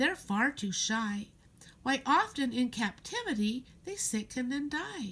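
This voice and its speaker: A woman in a high-pitched, creaky put-on character voice at a fairly slow pace. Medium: read story. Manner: pedantic, rambling.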